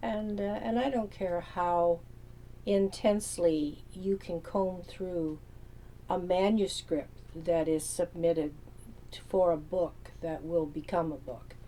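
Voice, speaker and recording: A woman speaks at a fairly low pitch with ordinary pitch variation. Her pace is very slow, with long, frequent pauses. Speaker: novelist. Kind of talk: casual talk to camera. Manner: laid back, relaxed.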